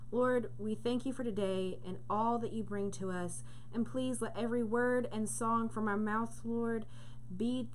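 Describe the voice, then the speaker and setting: Fairly slow speech from a woman with very wide pitch swings and light background noise. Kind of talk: spoken prayer. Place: home room. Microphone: webcam.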